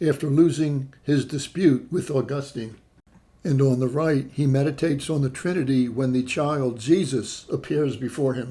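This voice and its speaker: Somewhat breathy and dark and mellow in tone, a man speaks at a fairly slow pace in a fairly high pitch with ordinary pitch variation. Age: 60s. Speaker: travel vlogger. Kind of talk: travelogue narration.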